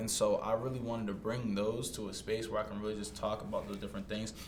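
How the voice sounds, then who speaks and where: With an American accent, a man talks at a very fast pace through noticeable background noise and audible room echo. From Massachusetts, Stoughton near Boston. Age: 20s. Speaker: podcast host, entrepreneur. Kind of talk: casual chat interview. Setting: shared single microphone, in person.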